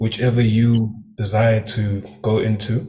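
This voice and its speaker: A man with a fairly low voice speaks over noticeable background noise, with audible echo in the room. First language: Swati. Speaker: new business member. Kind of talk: testimony. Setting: live stream.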